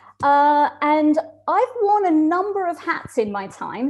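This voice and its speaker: A woman speaks with noticeable background noise. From Australia. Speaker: community group member, former teacher. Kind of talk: webinar interview. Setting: video call.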